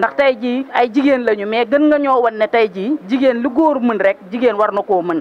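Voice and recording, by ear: Here a woman speaks fairly quickly. The pitch rises and falls in a normal way.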